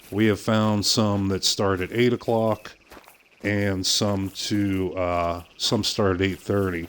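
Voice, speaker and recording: A man speaks with a Pittsburgh accent. His tone is relaxed. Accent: Pittsburgh accent, still present. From western Pennsylvania, outside Pittsburgh. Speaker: gaming streamer. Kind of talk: live game stream commentary. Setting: live stream from home. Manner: relaxed, with frequent fillers.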